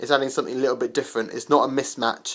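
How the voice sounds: His intonation stays fairly even. The speaker is a man with a medium pitch.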